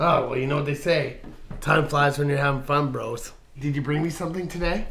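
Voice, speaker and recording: Speaking in a put-on character voice, a man sounds raspy and fairly high-pitched at a fairly quick pace. Clear background noise can be heard. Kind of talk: scripted comedy dialogue. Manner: cheery then menacing.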